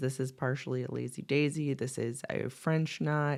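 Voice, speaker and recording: Her voice very deep and low, a woman speaks at a fairly slow pace. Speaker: embroidery artist. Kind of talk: tutorial. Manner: casual, chatty.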